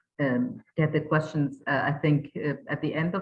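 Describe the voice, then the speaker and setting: A woman speaks with a German accent. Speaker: webinar moderator. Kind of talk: moderating a webinar. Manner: halting, many fillers.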